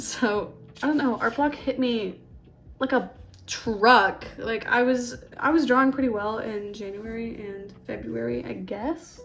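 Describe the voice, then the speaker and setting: Music plays in the background as a soft-spoken woman with a fairly high pitch talks with ordinary pitch variation. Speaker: art youtuber. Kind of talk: casual chat while drawing. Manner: hesitant.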